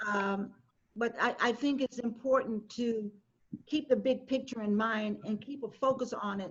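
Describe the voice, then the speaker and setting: In an ordinary speaking voice, a woman talks at a fairly slow pace with a fairly high pitch and fairly even intonation. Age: 60s. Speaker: panelist, community advocate. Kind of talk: panel discussion.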